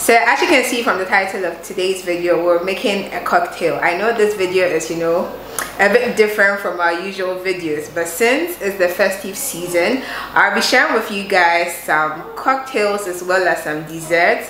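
A woman at a moderate pace with ordinary pitch variation, some audible room echo and light background noise. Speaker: lifestyle vlogger. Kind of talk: casual vlog intro. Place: kitchen.

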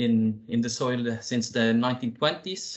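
A man speaks with a Norwegian accent against a quiet background. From Norway. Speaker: company CEO and founder; presenter. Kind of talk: business presentation. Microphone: video call.

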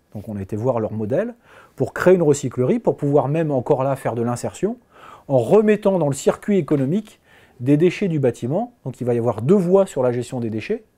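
A man with a fairly high pitch and a dark, mellow tone speaks at a fairly quick pace with very wide pitch swings against a quiet background. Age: 40s. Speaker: business owner. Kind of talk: interview testimony. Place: office. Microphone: lapel.

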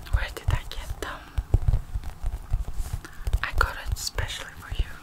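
Whispering at a fairly slow pace, a woman speaks in a gentle tone. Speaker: relaxation video host. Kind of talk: soft soothing personal-attention talk. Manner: gentle whisper to the viewer. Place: home room.

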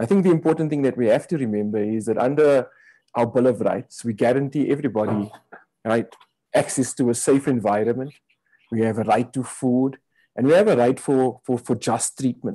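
With a dark, mellow tone and ordinary pitch variation, the voice moves at a fairly quick pace over a quiet background. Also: man, medium pitch for a man. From South Africa. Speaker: health advocacy director; webinar speaker. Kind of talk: opening address. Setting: video call. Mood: earnest, reflective. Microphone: video call.

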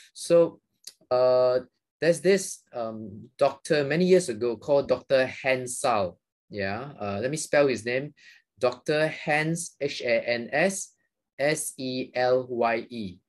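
Against a quiet background, a man with a Malaysian accent speaks at a very slow pace with ordinary pitch variation. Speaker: psychiatrist. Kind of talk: interview. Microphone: video call.

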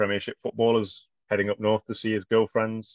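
A man with an English accent speaks at a fairly quick pace, his pitch fairly low. The sound is dry with no echo, over a quiet background. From English Midlands. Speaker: author. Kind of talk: casual interview chat. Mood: relaxed, animated gestures. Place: home room. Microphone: video call.

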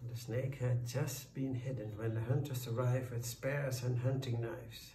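The clip has an unforced reading voice. It is read that way throughout.

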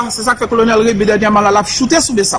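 Crowd noise fills the background. A man is speaking over it. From Haiti. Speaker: military commander. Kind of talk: press conference statement. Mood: firm, assertive. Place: street. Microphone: phone near.

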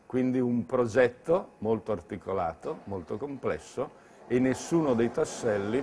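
Noticeable background noise accompanies a man's voice. He goes at a fairly slow pace with ordinary pitch variation. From Lombardy, Bergamo; Lombardy. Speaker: entrepreneur. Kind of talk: interview monologue.

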